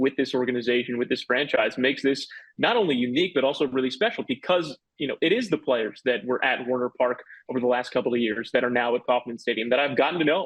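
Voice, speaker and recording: At a fairly quick pace, a man with medium pitch and a normal speaking voice talks with fairly even intonation. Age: 20s. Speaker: baseball radio announcer. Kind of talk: interview answer.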